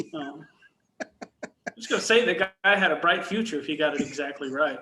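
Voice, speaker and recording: In a Texan accent, a man with a fairly high pitch speaks at a moderate pace, his intonation lively and his loudness swinging widely. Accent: Texan, mild. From Texas, near Dallas. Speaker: warehouse operations manager. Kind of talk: casual interview chat.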